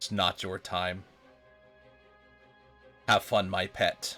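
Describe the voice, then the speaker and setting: A man puts on a character voice with a very deep, low pitch, speaking at a very slow pace over faint background music. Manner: menacing, possessive.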